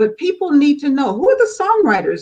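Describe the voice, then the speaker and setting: Lively intonation marks this woman's speech in an American accent. She sounds somewhat breathy and keeps a moderate pace. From California. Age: 70s. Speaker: gospel magazine publisher. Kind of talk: interview.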